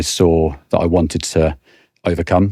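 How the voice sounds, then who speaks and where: A man with a British accent speaks in a very deep, low, monotone voice with flat intonation and a dark, mellow tone, the sound dry and close with no echo. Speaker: financial services sales director. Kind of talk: podcast interview. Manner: halting, frequent repetitions.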